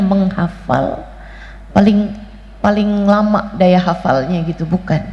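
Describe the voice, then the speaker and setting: The voice shows ordinary pitch variation over noticeable background noise and audible room echo. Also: woman. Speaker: female Islamic preacher. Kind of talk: sermon.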